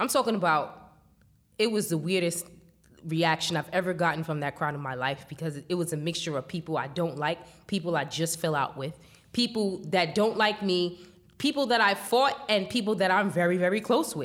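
A New York accent at a moderate pace, with lively intonation. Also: woman, fairly low pitch for a woman. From New York, Staten Island. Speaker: hip hop journalist. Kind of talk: interview.

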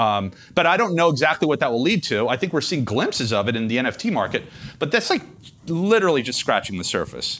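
With vocal fry and very wide pitch swings, a man talks at a very fast pace in a fairly high pitch. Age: 50s. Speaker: hedge fund manager. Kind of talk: interview.

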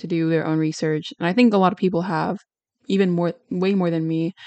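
A woman with a plain, everyday voice speaks at a fairly quick pace. Her pitch is fairly low and her intonation fairly even. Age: young. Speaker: solo podcast host. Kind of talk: solo podcast monologue on research. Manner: casual, frequent fillers and laughs.

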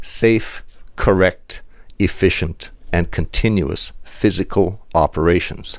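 Very deep, low-pitched male voice with vocal fry and lively intonation. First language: German. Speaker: industrial security expert. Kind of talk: interview.

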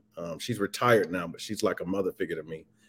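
In a very clean recording with a silent background, a man with a Southern US accent speaks with ordinary pitch variation. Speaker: social worker and nonprofit founder. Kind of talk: casual interview. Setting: live stream.

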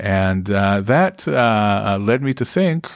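In a very clean recording with a silent background, a man talks at a very slow pace and a fairly low pitch. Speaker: psychology professor. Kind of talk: interview.

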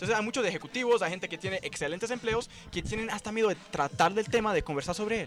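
A man talks at a very fast pace, his voice high in pitch. Noticeable background noise runs behind him. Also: ordinary pitch variation. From Brazil, São Paulo. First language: Portuguese (speaking Spanish). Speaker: cannabis economy researcher. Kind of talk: casual chat. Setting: at a festival event.

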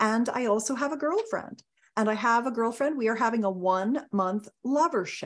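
Fairly high in pitch, a woman with an ordinary speaking voice talks at a moderate pace with ordinary pitch variation and very even loudness. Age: 60s. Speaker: intimacy expert. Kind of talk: casual interview.

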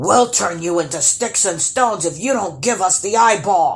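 A high-pitched put-on character voice from a man at a moderate pace. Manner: threatening, warning.

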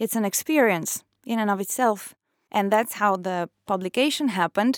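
Speaking with an Italian accent, a woman keeps a moderate pace at a fairly high pitch. The very clean recording has a silent background and a dry, close sound with no echo. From northeast Italy, near Trieste. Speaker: author. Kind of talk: interview.

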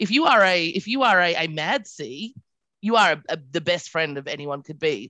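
Bright and sharp in tone, a woman speaks at a fairly low pitch. Her pitch swings very wide at a moderate pace. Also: quiet background. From Australia (Adelaide). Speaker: podcast guest. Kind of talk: casual chat.

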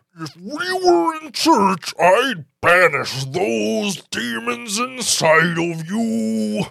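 This put-on character voice is raspy and strained, moving at a very slow pace. Its pitch swings very widely and its loudness rises and falls in big swings. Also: man, high pitch for a man. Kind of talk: comic overacting. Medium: talk show. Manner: indignant, preachy, yelling.

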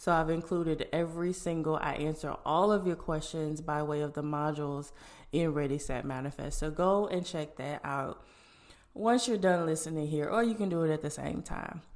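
The woman's voice is very deep and low. She talks at a moderate pace with ordinary pitch variation. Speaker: podcast host. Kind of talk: casual monologue. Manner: informal, filler-heavy.

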